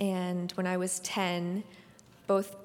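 This is a very clean recording with a silent background. The speaker is a woman with a Californian accent. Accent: Californian American. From US West Coast (San Francisco Bay Area). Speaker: ballet dancer. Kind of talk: onstage interview. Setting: stage with live audience.

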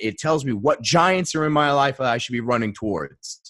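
With an American accent, a man speaks at a moderate pace in an ordinary speaking voice. His pitch is medium, and his intonation is lively. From Maine, US. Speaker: mindset coach. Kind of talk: interview. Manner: casual, filler-heavy.

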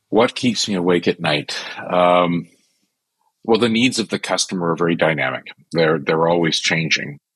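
A man speaks with a very deep, low pitch and ordinary pitch variation at a moderate pace. The sound is dry and close, with no echo. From Canada. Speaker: customer experience executive. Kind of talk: interview.

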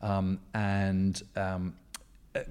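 This man has a very deep, low pitch and an English accent. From England, rural. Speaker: historian and author. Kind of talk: interview. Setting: hotel boardroom. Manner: animated.

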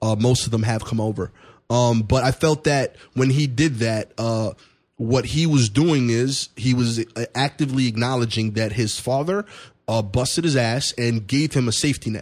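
A man with an American accent talks at a moderate pace and medium pitch, with ordinary pitch variation, in an ordinary speaking voice. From East New York, Brooklyn. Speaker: comedian. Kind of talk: casual chat.

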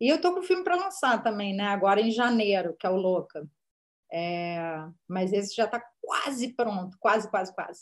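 A woman's lively intonation comes through a normal speaking voice at a moderate pace. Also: medium pitch for a woman. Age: 40s. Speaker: screenwriter and director. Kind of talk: interview.

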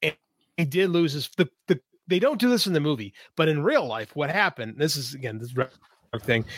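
With an American accent, a man speaks at a fairly high pitch and a fairly quick pace, his pitch swinging very widely between long, frequent pauses, in a dry, close sound with no echo. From Chicago. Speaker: podcast co-host. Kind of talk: casual chat. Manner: animated.

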